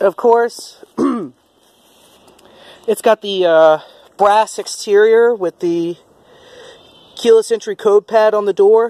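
Very slow speech with long, frequent pauses in a dry sound with no echo. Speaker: car owner's child reviewer. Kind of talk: casual car review to camera.

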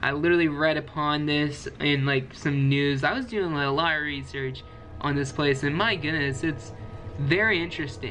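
A man at a moderate pace with ordinary pitch variation over light background noise. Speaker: video creator. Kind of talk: casual vlog chat. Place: home room. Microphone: webcam.

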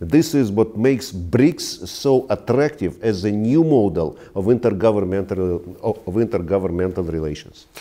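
A man with a Russian accent, a fairly low pitch, a dark, mellow tone, lively intonation, and hardly any pauses. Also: moderate pace. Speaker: ambassador; interviewee. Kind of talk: interview. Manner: halting. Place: home room. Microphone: lapel.

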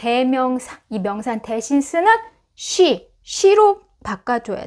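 Very wide pitch swings in a high-pitched woman's voice. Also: very clean recording, silent background. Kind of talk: lecture. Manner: slow.

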